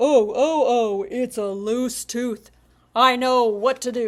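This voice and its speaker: A put-on character voice moves along at a fairly slow pace. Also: woman, high pitch for a woman. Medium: read story. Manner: self-assured.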